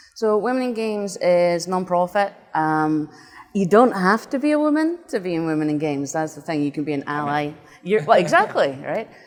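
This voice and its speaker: Her pitch leaps very widely from high to low. The woman also talks fairly fast. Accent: Scottish. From Scotland, northeast (Doric-speaking area). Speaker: games designer and nonprofit volunteer. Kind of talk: interview.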